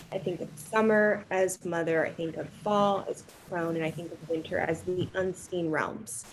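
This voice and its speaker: With an ordinary speaking voice, a woman keeps a moderate pace with hardly any pauses and ordinary pitch variation. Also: fairly low pitch for a woman. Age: 40s. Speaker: embodiment practitioner. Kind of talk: casual chat.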